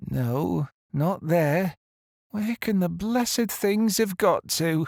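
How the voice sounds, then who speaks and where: Putting on a character voice, a man speaks very slowly in a high, shaky voice with lively intonation. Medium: read story. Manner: hesitant, stammering.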